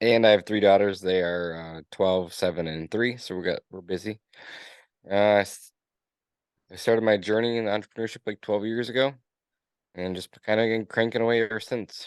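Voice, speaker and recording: Over a quiet background, a man with an American accent and fairly low pitch speaks at a moderate pace with fairly even intonation and long, frequent pauses. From Upper Peninsula of Michigan, Escanaba. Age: 30s. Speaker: business owner. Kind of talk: interview.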